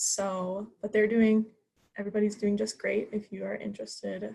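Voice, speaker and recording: A woman's medium-pitched, somewhat breathy voice with an American accent, monotone and flat. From US Midwest, Columbia, Missouri. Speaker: student club officer. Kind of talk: club meeting self-introduction.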